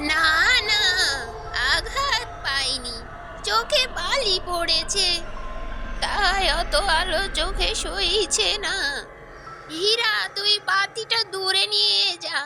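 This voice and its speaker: A female-sounding, cartoonish character voice speaks at an extremely high pitch and a very slow pace. Background noise is clearly audible. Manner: sly, feigning frailty.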